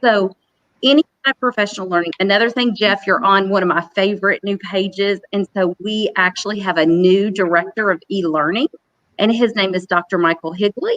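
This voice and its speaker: A woman speaks fairly quickly at a medium pitch, her loudness very even. The sound is dry and close, with no echo. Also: ordinary pitch variation. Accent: Southern US. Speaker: professional learning specialist. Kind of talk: conference panel talk.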